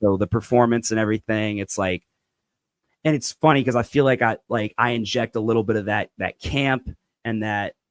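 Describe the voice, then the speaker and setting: A man with a plain, everyday voice talks at medium pitch and a fairly quick pace. The sound is dry and close with no echo. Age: 20s. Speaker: rapper and musician. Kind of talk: casual interview chat.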